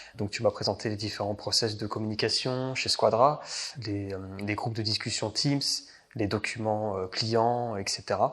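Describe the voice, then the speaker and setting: Fairly slow, fairly even-toned speech from a man with a fairly low pitch. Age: 20s. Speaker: IT consultant. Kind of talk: interview. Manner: halting, many hesitations.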